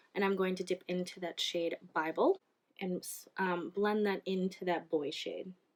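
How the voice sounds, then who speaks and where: Speaking with an American accent, a woman keeps a medium pitch and fairly even intonation. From Minnesota. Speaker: beauty YouTuber. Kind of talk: makeup tutorial and review. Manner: casual, with fillers.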